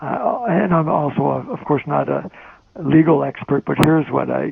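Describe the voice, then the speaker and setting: A man with a Quebec accent talks at a fairly slow pace over noticeable background noise. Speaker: journalist and magazine editor. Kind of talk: conference talk. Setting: phone call. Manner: soft-spoken; hesitant. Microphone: phone line played on stage, too quiet.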